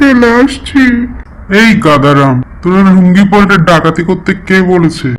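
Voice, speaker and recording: The voice is cartoonish, a character act, delivered at a fairly slow pace. Light background noise can be heard. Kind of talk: comic overacting. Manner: blustering, comic.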